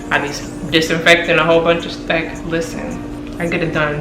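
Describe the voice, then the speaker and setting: Her tone animated, a woman speaks at a fairly quick pace and a fairly low pitch. Room echo is audible, along with noticeable background noise. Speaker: lifestyle vlogger. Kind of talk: casual vlog talk to camera. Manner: fast.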